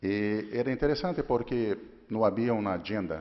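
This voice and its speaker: A man with a Portuguese accent speaks at a fairly slow pace. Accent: Portuguese-accented Spanish (portuñol). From Brazil. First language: Portuguese (speaking Spanish). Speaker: legislative IT official. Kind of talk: conference talk. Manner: halting, self-correcting.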